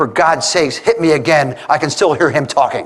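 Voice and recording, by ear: In a put-on character voice, a man talks at a fairly quick pace with a fairly high pitch, sounding hoarse and shaky.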